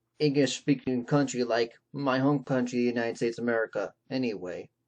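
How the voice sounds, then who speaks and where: The speaker has a Californian accent. The pace is fairly quick. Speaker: YouTuber. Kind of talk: tutorial. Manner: halting, many restarts.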